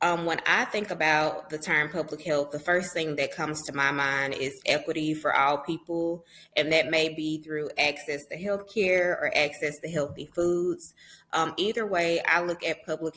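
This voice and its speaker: With a Southern US accent, a woman talks at a very deep, low pitch, her bright, sharp tone carried on fairly even intonation. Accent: Southern US, country. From Southern United States. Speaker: public health entrepreneur and author. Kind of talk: podcast interview answer.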